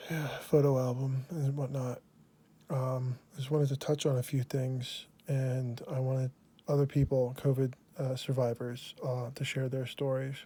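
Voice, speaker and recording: Quiet speech at a moderate pace. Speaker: video blogger. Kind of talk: personal testimony. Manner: quiet, subdued; hesitant, many fillers.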